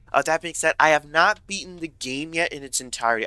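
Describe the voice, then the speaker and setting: In an American accent, a man speaks with a bright, sharp tone. The sound is dry and close, with no echo. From US South. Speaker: gaming YouTuber. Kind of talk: gameplay commentary. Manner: casual, many fillers and restarts.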